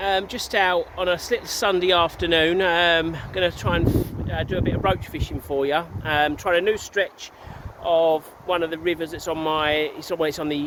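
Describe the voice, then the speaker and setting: A man's high-pitched voice at a moderate pace, with noticeable background noise. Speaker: angler. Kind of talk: casual talk to camera. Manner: enthusiastic.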